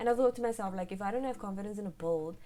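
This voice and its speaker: A woman's dark, mellow voice with ordinary pitch variation. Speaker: gaming YouTuber. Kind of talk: casual voice-over commentary. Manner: halting, stuttering.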